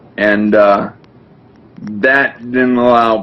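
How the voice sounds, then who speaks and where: Very slow speech with fairly even intonation over noticeable background noise. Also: man. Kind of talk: testimony.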